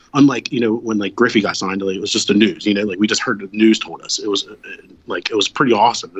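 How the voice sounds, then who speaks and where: A man talks at a medium pitch. He has an American accent. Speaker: sports podcast panelist. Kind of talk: casual chat. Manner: jokey, laughs a lot.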